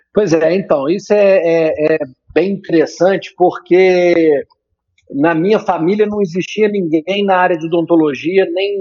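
A high-pitched man, with ordinary pitch variation. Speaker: dentist, orofacial pain specialist. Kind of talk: radio interview. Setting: phone call. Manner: energetic.

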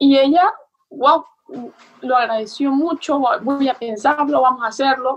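High-pitched and at a fairly slow pace, a woman speaks with long, frequent pauses, ordinary pitch variation and very even loudness. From Venezuela. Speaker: entrepreneur. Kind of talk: interview.

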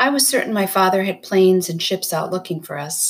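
This is an unforced reading voice. The words come out in an unforced reading voice.

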